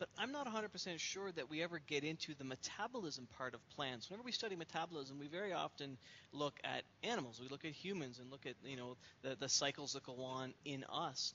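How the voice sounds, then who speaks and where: A man's fairly high-pitched voice, a normal speaking voice with lively intonation, over light background noise. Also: fairly quick pace. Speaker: science education panelist. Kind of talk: panel discussion. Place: office. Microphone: headset.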